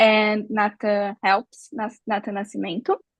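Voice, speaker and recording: A woman speaks at a fairly high pitch in a Brazilian Portuguese accent. The sound is dry and close, with no echo. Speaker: neuroscience researcher. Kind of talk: research presentation. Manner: halting.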